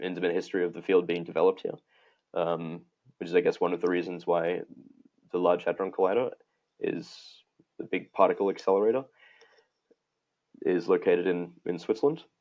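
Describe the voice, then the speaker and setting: A man's fairly quick speech, broken by long, frequent pauses. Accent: Australian. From Australia. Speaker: physics researcher. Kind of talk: interview conversation. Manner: halting, frequent restarts.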